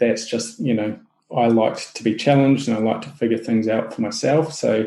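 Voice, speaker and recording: Medium in pitch, this man's voice has a dark, mellow tone and fairly even intonation. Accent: New Zealand. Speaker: SEO agency owner. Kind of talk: podcast interview. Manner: hesitant, many fillers.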